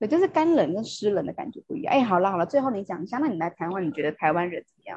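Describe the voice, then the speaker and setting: A woman's medium-pitched voice, very fast and with hardly any pauses, with very wide pitch swings and big swings in loudness. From Taiwan. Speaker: podcast host. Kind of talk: casual chat.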